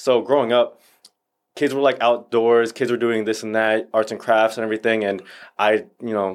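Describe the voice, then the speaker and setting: A man with an American accent speaks at a medium pitch and a fairly quick pace in a plain, everyday voice. The recording is very clean, with a silent background. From Northern Virginia. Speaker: actor and stuntman. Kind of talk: casual chat.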